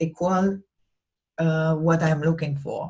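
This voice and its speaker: A woman speaks with a non-native accent at a fairly low pitch, her intonation fairly even. Her tone is dark and mellow, and somewhat breathy. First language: not English. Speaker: business coach / vlogger. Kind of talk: talking-head tutorial. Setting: recorded alone to camera. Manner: halting, many fillers and restarts.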